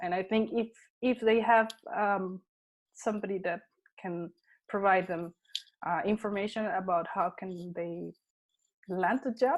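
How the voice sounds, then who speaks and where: A woman with a Spanish accent, medium pitch, fairly even intonation, and a fairly slow pace broken by long, frequent pauses, in a very clean recording with a silent background. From Colombia and Panama. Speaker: technology consultant and content creator. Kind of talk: interview. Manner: halting, with fillers.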